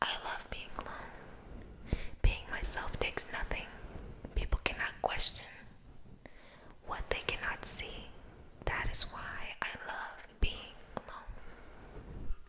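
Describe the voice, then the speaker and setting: Whispered speech from a woman, very slow, broken by long, frequent pauses, over noticeable background noise. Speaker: ASMR creator. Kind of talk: poetry reading. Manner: soft-spoken, whispered.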